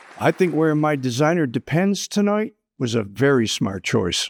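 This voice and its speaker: A man with an American accent speaks at a moderate pace and a fairly high pitch, with very wide pitch swings. The sound is dry and close, with no echo. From US Northeast, Rochester, New York. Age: 70s. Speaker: comedian, retired teacher. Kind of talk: stand-up. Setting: stage with audience.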